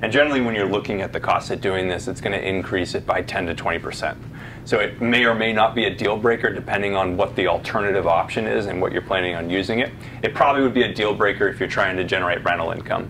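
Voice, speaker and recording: A man talks at a very fast pace with a fairly low pitch. His pitch varies in an ordinary way over light background noise. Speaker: presenter. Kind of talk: answer to an audience question, presentation. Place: meeting room.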